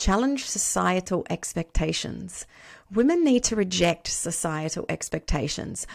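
A plain, everyday voice at a moderate pace. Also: woman. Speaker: podcast host. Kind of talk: casual interview conversation.

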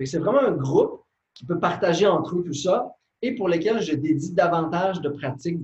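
Speaking in a Saguenay–Lac-Saint-Jean accent, a man with a high pitch talks at a moderate pace with lively intonation. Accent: Quebec French (Saguenay–Lac-Saint-Jean). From Quebec, Lac-Saint-Jean. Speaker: meditation teacher and author. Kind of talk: interview.

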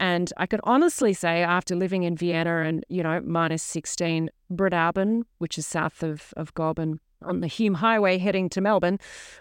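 In an Australian accent, a woman speaks at a moderate pace in a fairly low pitch, the sound dry and close with no echo. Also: quiet background. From Sydney, Australia. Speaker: podcast host, former model and wool grower. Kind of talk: solo podcast narration. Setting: farm station.

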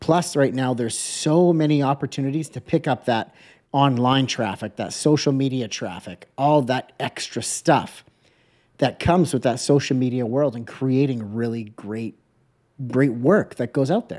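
In a very clean recording with a silent background, a man talks at a moderate pace in a normal speaking voice. His pitch is medium, with ordinary pitch variation. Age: 30s. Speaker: podcast host and print design educator. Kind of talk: casual interview chat.

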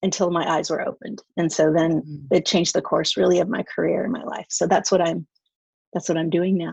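Vocal fry at a fairly quick pace, with ordinary pitch variation, dry and close with no echo. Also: woman, fairly low pitch for a woman. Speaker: marriage and family therapist. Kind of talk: interview.

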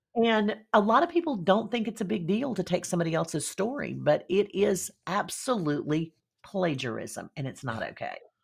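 Speaking in a Southern US accent against a quiet background, a woman uses a medium pitch, an animated tone, vocal fry, and very wide pitch swings, going at a moderate pace with hardly any pauses. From US Deep South. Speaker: speaker coach and storytelling strategist. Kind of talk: interview conversation.

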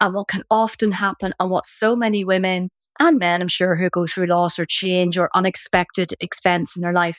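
Recorded very cleanly with a silent background, the sound is dry and close with no echo. A woman with a Northern Irish accent speaks at a moderate pace and medium pitch. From Northern Ireland, Belfast. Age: 50s. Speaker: midlife coach and author. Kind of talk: interview conversation. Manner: animated.

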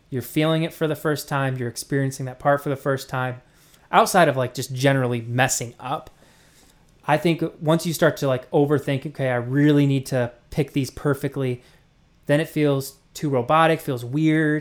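This man talks at a moderate pace with fairly even intonation, a fairly high pitch, and an unremarkable speaking voice. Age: 20s. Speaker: music producer. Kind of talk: casual chat.

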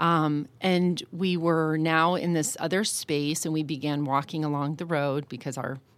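Very clean, with a silent background, the recording has a woman speaking at a fairly slow pace in a very deep, low voice. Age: 50s. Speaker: life coach. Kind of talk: personal testimony in interview.

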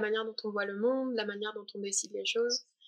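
A woman's moderate-paced speech in a monotone, flat intonation. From southern France, Alpes-Maritimes. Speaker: spiritual traveler, mantra singer. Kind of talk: podcast interview. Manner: halting, many repetitions.

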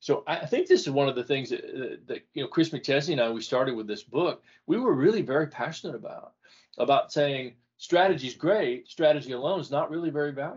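A man talks at a fairly quick pace in a fairly high, somewhat breathy voice. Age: 60s. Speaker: author and former CEO. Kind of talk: casual interview conversation.

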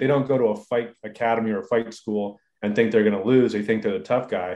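With an American accent, a man speaks in a plain, everyday voice at a moderate pace with ordinary pitch variation. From Southern California (inland). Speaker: surfer, fighter and self-defense trainer, entrepreneur. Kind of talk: casual interview.

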